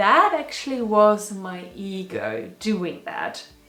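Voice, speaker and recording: A woman speaks with music in the background. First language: not English. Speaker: spiritual video blogger. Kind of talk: personal reflection monologue. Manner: casual.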